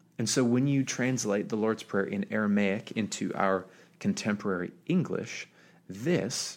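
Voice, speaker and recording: With an ordinary speaking voice, a man talks at a moderate pace, his fairly low pitch showing ordinary variation. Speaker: pastor. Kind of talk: sermon podcast, talking directly to listener. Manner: casual, conversational, informal.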